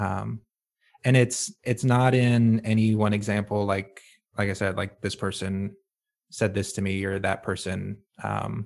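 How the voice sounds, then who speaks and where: Here a man speaks with vocal fry and a fairly low pitch, his intonation fairly even. The recording is very clean, with a silent background. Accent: American. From US South, rural North Carolina. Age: 20s. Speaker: IT professional and musician. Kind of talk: casual interview chat.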